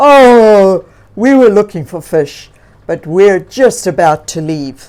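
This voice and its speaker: In a put-on character voice, a woman speaks at a medium pitch and a fairly slow pace on a very clean recording with a silent background. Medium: read story. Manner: friendly, casual.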